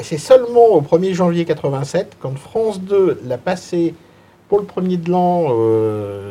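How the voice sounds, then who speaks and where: With very wide pitch swings, a man speaks very slowly in a high voice. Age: 40s. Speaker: film fan guest. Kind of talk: casual panel discussion. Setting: filmed panel in a cinema.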